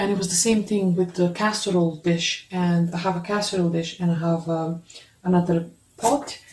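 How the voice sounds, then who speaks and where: Fairly even intonation from a woman with a fairly low pitch. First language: not English. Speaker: video blogger reviewing cookware. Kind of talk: product review, unboxing. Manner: halting, with many fillers. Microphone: phone near.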